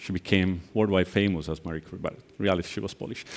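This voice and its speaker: A man with an Italian accent speaks in a very deep, low pitch in a very clean recording with a silent background. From Italy, near Venice. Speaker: angel investor and conference speaker. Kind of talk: conference keynote.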